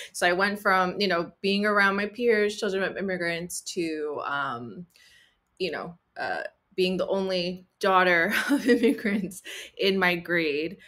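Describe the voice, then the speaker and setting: On a very clean recording with a silent background, a woman with a New Jersey accent speaks at a fairly slow pace in a bright, sharp tone, her medium pitch showing ordinary variation. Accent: US Northeast (New Jersey). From Central New Jersey, Cuban American family. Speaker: writer and actor. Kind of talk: interview conversation. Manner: hesitant, many fillers.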